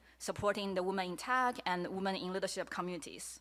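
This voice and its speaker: A woman speaks with a Chinese accent at a medium pitch, her tone bright and sharp. The recording is very clean, with a silent background. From China. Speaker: media artist. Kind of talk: presentation talk. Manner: halting, many fillers.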